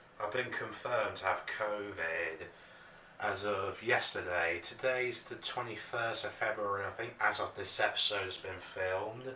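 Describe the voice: With a bright, sharp tone and fairly low pitch, a man speaks fairly slowly with ordinary pitch variation in a room with audible echo.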